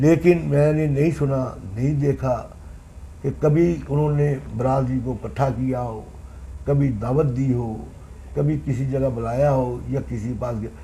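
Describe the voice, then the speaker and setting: With audible room echo around him, a man speaks at a medium pitch and leaves long, frequent pauses. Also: ordinary pitch variation. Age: 60s. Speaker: former municipal councillor. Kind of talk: interview.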